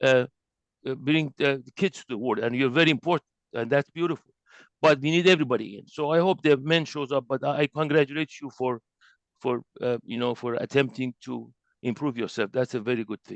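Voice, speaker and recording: In an Iranian accent, a man talks at a medium pitch and a fairly quick pace, with ordinary pitch variation and big swings in loudness. The sound is dry and close with no echo, over a quiet background. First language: Persian. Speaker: spiritual teacher. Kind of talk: lecture. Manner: halting.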